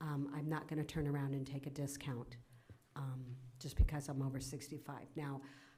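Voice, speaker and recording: A fairly quick, somewhat breathy woman's voice, very deep and low in pitch, dark and mellow in tone, monotone and flat, with audible room echo. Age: 60s. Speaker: council chair. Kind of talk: council meeting chairing.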